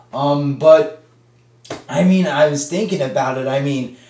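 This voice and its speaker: Noticeable background noise with audible room echo. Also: man. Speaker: wrestling reviewer. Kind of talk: casual review vlog. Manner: tame and laid-back.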